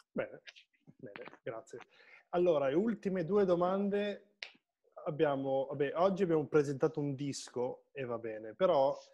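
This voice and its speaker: The background stays quiet. A man's moderate-paced speech shows ordinary pitch variation. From Piedmont, Italy. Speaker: online show host and musician; online show host. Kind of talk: casual interview chat. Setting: live Facebook video stream. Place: home room. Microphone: video call.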